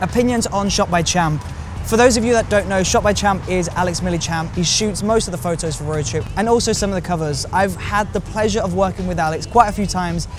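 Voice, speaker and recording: A man's high voice at a very fast pace with hardly any pauses and ordinary pitch variation, amid audible room echo and noticeable background noise. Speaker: filmmaker and YouTuber. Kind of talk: casual Q&A to camera.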